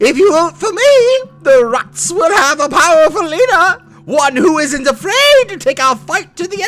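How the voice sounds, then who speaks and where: An extremely high, put-on character voice runs at a moderate pace with hardly any pauses. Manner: vengeful, persuasive.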